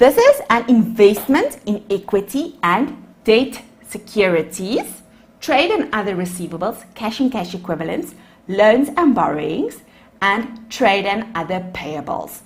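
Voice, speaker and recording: A woman speaks in a fairly high, somewhat breathy voice. Her pitch swings very widely. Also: fairly slow pace. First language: Afrikaans. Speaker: accounting lecturer. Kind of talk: lecture.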